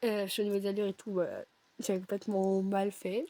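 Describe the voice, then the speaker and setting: Recorded dry and close with no echo, a woman speaks at a medium pitch. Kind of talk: casual video game commentary.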